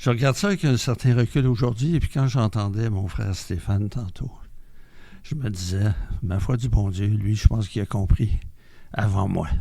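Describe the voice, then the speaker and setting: A somewhat breathy, dark and mellow voice in a Quebec accent, with long, frequent pauses. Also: man, fairly low pitch for a man, ordinary pitch variation, moderate pace. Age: 70s. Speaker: member of a mental health community group. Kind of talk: testimony.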